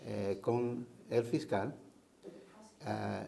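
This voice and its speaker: A man's voice with ordinary pitch variation. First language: English (speaking Spanish). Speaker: defense lawyer. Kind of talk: interview. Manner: halting.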